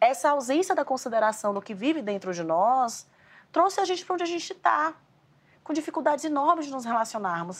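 A woman's high voice, fairly quick, with very wide pitch swings. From Bahia, Brazil. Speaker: emotional education specialist. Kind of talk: casual conversation. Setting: at the hosts' home.

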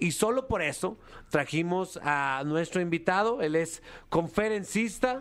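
A man's high voice with lively intonation at a fairly slow pace, very even in loudness, on a very clean recording with a silent background. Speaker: radio host. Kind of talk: casual banter. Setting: radio studio.

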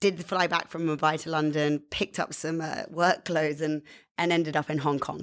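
A woman speaks with a British accent. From England. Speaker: media executive.

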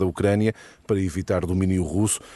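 This man has a fairly low voice. It sounds dark and mellow. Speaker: radio moderator. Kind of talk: moderating radio debate. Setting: radio studio.

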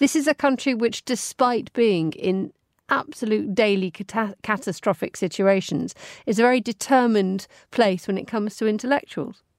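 At a moderate pace, a woman with an ordinary speaking voice talks at a fairly high pitch with ordinary pitch variation, in a dry, close sound with no echo. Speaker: radio host. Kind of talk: news reading of headlines: brisk, clear, formal, evenly paced delivery. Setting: studio. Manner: formal; measured.

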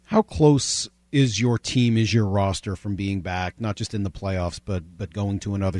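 A man with an unremarkable speaking voice and fairly low pitch talks at a moderate pace with hardly any pauses. His pitch variation is ordinary, and the sound is dry and close with no echo. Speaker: sports radio host. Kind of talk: radio interview and sports talk.

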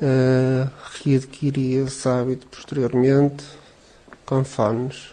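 Against noticeable background noise, a man with a medium pitch speaks in a flat monotone at a very slow pace, with long, frequent pauses. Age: 40s. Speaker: patient with cystic fibrosis, factory worker. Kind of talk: interview testimony.

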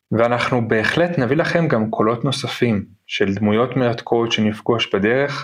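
A man in an ordinary speaking voice, medium pitch, ordinary pitch variation, fairly slow pace, hardly any pauses and very even loudness. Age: 30s. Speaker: podcast host, travelling parent. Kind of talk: casual chat.

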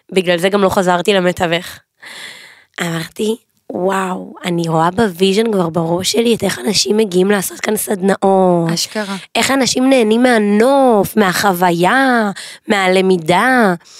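A woman with a plain, everyday voice speaks at a fairly slow pace, her medium pitch carrying ordinary variation. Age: 20s. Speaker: pastry business owner. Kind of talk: casual chat. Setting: studio.

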